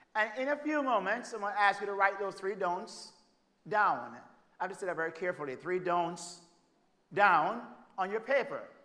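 A man with a Jamaican accent projects a raised, high-pitched voice with a bright, sharp tone, speaking at a moderate pace with long, frequent pauses. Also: ordinary pitch variation. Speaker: preacher and family therapist. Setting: church stage with audience.

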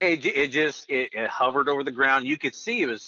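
A man speaks at a fairly high pitch with an American accent. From northeastern Oklahoma. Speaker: air force veteran. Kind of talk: storytelling interview.

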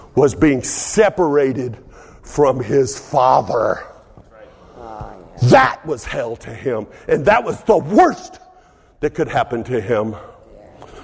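A man with an American accent speaks at a very slow pace with long, frequent pauses and big swings in loudness, over noticeable background noise. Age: 70s. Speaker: pastor. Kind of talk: sermon. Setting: church.

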